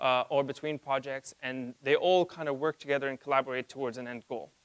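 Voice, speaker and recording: A man talks at a very fast pace with a medium pitch. The sound is dry and close, with no echo. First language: not English. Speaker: conference speaker. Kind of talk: conference talk. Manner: halting, with fillers and self-corrections.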